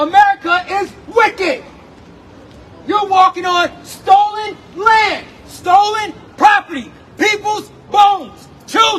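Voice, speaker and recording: Shouting at an extremely high pitch, a man speaks at a very slow pace with fairly even intonation. Long, frequent pauses come through over noticeable background noise. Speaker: street preacher. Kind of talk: street preaching debate. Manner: loud.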